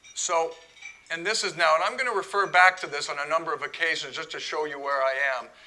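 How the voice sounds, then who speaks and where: Pitch shifts in an ordinary way. A bright, sharp tone marks the voice. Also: man. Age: 60s. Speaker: club president giving a talk. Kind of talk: talk to an audience. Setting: room with live audience.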